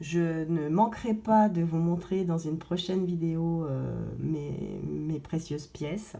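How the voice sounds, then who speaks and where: In a room with audible echo, a woman with a very deep, low pitch and a dark, mellow tone speaks very slowly. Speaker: gold investing vlogger. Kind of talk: casual vlog. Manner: halting, many fillers.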